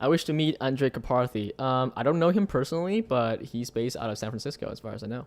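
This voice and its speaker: Lively intonation runs through speech delivered at a very fast pace. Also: man, medium pitch for a man. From Vietnam. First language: Vietnamese. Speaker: tech live streamer. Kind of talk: live stream chat. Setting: live stream. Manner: casual, many fillers.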